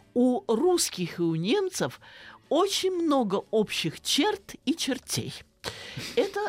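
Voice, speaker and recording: The delivery is very slow, with long, frequent pauses, very wide pitch swings and very even loudness. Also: woman. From Russia, Saratov (Volga region). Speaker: philology professor. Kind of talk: radio interview. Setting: studio.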